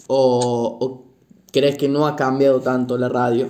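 A man talks at a fairly slow pace. His voice is fairly high in pitch with a dark, mellow tone. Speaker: university student, podcaster, grandchild. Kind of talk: interview.

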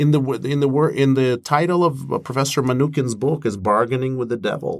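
Captured on a very clean recording with a silent background, a man speaks in a Russian accent. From Moscow, Russia. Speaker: professor and mediator. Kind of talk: interview answers on conflict negotiation.

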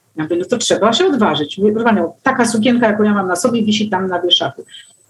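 The woman's pitch is fairly high. She talks at a very fast pace. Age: 50s. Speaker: artist and fashion blogger. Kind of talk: casual interview. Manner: talkative.

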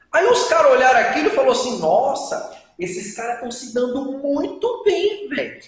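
Fairly slow speech with very wide pitch swings and big swings in loudness, plus audible room echo. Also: man. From Brasília, Brazil. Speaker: exam-prep teacher, former civil servant. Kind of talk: casual interview. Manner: animated.

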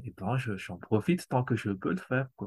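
A man with a normal speaking voice talks at a fairly slow pace with ordinary pitch variation, the very clean recording dry and close with no echo and a silent background. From Madagascar. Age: 40s. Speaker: amateur cellist. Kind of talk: casual interview.

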